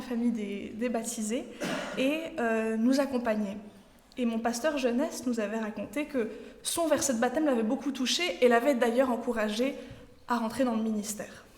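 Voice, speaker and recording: With a slight Swiss French accent, a woman talks in a high voice at a fairly slow pace. Her intonation is fairly even, and there is audible room echo along with noticeable background noise. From Switzerland. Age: 20s. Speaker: trainee pastor. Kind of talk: sermon. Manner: halting, many fillers.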